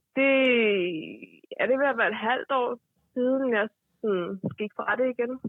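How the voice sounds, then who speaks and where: Her loudness very even, a woman talks at a fairly slow pace in a high pitch with ordinary pitch variation and long, frequent pauses. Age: 20s. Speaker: caller. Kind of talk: casual chat. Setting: phone call.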